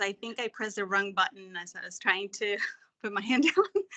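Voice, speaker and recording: Bright and sharp in tone, a woman with a Spanish accent speaks at a fairly high pitch with ordinary pitch variation. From Mexico. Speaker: webinar participant. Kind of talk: personal story.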